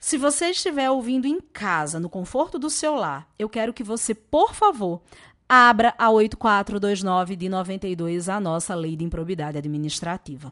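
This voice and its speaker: In a quiet background, a woman of medium pitch speaks at a fairly slow pace in an animated tone, with very wide pitch swings. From Brazilian Northeast, Natal. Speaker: law professor. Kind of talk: lecture.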